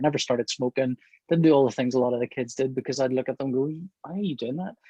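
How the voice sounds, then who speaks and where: A man with a Northern Irish accent speaks at a medium pitch in a dark, mellow tone, the sound dry and close with no echo. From Northern Ireland. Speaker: comic book artist. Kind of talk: interview. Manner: hesitant, many fillers.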